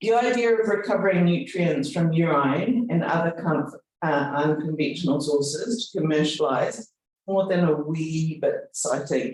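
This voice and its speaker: With a New Zealand accent, a man talks at a high pitch with ordinary pitch variation and very even loudness. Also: moderate pace. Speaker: university executive. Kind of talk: speech. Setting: event with audience.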